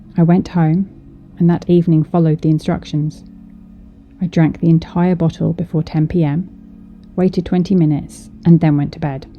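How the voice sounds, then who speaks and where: Music plays behind a woman with a fairly low pitch. Her intonation is monotone and flat, and her pace is moderate. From British. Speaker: storyteller. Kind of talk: horror story narration.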